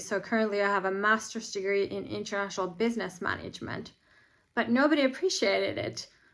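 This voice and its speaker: A woman with a Finnish accent and a bright, sharp tone, ordinary pitch variation, on a very clean recording with a silent background. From Finland. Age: 40s. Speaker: vlogger. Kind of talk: personal monologue vlog.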